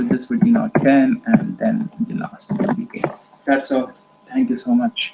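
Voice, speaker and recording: Noticeable background noise runs throughout. The speech moves at a fairly slow pace. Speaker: teacher explaining an algorithm. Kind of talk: tutorial.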